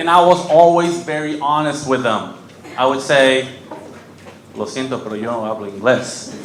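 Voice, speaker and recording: With audible room echo and noticeable background noise, a man of fairly high pitch talks at a moderate pace, with ordinary pitch variation and long, frequent pauses. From Mexico, raised in Kentucky and North Carolina from age 7. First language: Spanish. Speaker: comedian. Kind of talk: stand-up. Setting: stage with audience.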